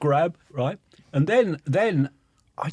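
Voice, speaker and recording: A man with a Norfolk accent, somewhat breathy, with very wide swings in pitch. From England, Norfolk. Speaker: timber industry executive. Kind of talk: podcast interview.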